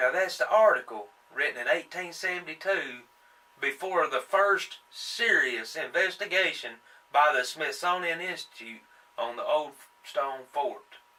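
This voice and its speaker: Against noticeable background noise, a man with an American accent speaks at a fairly slow pace. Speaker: young-earth creationist video host. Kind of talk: impassioned monologue. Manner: halting, stumbling on words.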